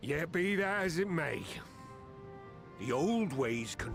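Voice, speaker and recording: Over clear music in the background, a man does a put-on character voice at a fairly slow pace. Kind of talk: salty pirate dialect. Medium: video game. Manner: gruff, commanding.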